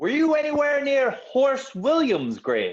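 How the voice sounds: A man performs a put-on character voice at an extremely high pitch. His pitch swings very widely.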